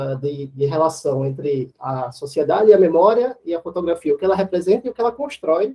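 In a high pitch, a man talks with lively intonation. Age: 30s. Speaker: architecture professor and photographer. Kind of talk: casual chat. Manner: hesitant, with fillers.

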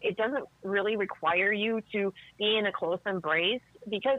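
A woman with an American accent talks at a moderate pace and a medium pitch. She has a plain, everyday voice. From Chicago South Side. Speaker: tango dancer and teacher. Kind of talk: casual chat.

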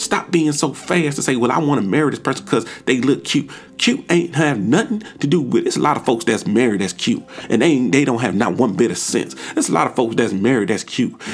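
A man's unremarkable speaking voice at medium pitch, fairly quick in pace, with lively intonation. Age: 30s. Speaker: podcast host giving relationship advice. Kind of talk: solo monologue. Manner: casual, conversational.

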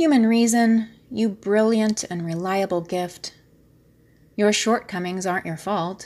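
With an American accent and a normal speaking voice, a woman talks at a fairly slow pace, with a medium pitch and ordinary pitch variation. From US, upstate New York. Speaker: poet. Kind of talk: poetry reading.

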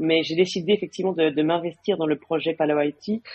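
A woman at a fairly low pitch and moderate pace. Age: 40s. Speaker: tech business executive. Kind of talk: interview. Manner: halting, many fillers and repetitions.

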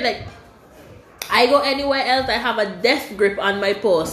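Noticeable background noise and audible room echo surround a woman speaking at a moderate pace. Her pitch is fairly high, with ordinary pitch variation. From Caribbean. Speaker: podcast host and university student. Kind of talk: casual chat.

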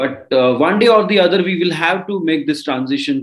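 A fairly quick man at a high pitch, with very wide pitch swings. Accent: Indian. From India, Marathi-speaking. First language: Marathi. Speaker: crypto mining entrepreneur. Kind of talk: interview.

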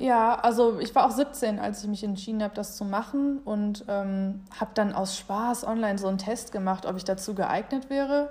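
A woman's fairly high, somewhat breathy voice, dark and mellow in tone, moves at a moderate pace. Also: ordinary pitch variation, hardly any pauses. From Germany. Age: 20s. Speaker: college golfer and student. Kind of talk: interview.

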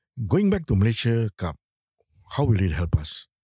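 Recorded very cleanly against a silent background with a dry, close sound and no echo, a man with a Singaporean accent speaks at a moderate pace in a fairly low, somewhat breathy voice with a dark, mellow tone and very wide pitch swings. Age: 70s. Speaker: retired football coach. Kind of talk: interview. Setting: studio.

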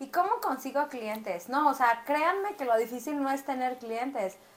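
Noticeable background noise sits under a woman who talks at a moderate pace with a high pitch and ordinary pitch variation. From Mexico City. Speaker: eyelash artist and beauty academy owner. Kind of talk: casual chat. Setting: recording while live streaming on TikTok.

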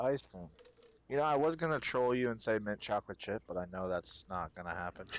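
With a normal speaking voice, a man talks at a fairly quick pace and medium pitch, his intonation lively and the sound dry and close with no echo. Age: 20s. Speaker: Twitch streamer. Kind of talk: casual interview chat.

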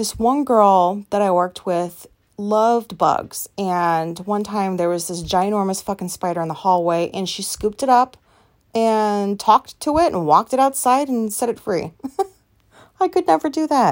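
In a very clean recording with a silent background, a woman at medium pitch talks at a moderate pace with lively intonation. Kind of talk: casual chat. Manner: loud.

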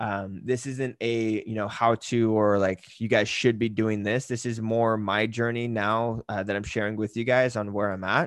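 The delivery is monotone, with flat intonation, at a moderate pace and hardly any pauses. The background is quiet. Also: man, medium pitch for a man. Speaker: podcast host and fitness business coach. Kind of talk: casual solo podcast monologue. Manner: casual, filler-heavy.

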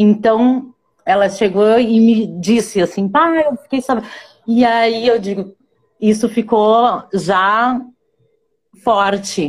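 Speaking at a very slow pace with long, frequent pauses, a woman uses a fairly high pitch and ordinary pitch variation. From born in Ecuador, raised in northeast Brazil (Rio Grande do Norte). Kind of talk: casual interview. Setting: online live video call.

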